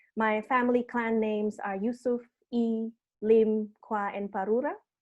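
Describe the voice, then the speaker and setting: A woman's fairly high voice with fairly even intonation and an Indonesian accent. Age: 30s. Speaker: arts program producer and session host. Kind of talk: online panel introduction and housekeeping. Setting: video call.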